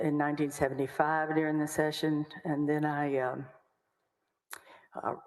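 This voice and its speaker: A woman with a Texan accent speaks in a very deep, low pitch with fairly even intonation. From Texas, Waco. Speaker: lawyer. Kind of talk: testimony.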